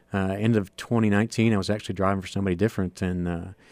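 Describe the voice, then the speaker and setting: Fairly low in pitch, a man talks at a fairly quick pace in an unremarkable speaking voice. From northern Ohio, US. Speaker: stock car racing driver. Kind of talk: radio interview. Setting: radio studio.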